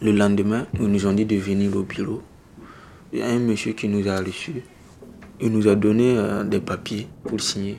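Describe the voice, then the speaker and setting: A man speaks at a moderate pace in a fairly low, monotone, flat voice. He leaves long, frequent pauses. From Burkina Faso. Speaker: young exiled migrant. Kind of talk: personal testimony in documentary. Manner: halting, with repetitions.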